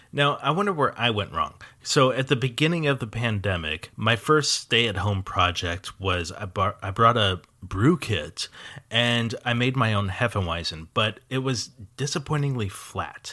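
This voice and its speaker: A man's bright, sharp voice with lively intonation, on a very clean recording with a silent background. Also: medium pitch for a man, moderate pace. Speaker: podcast host. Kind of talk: interview, scripted intro.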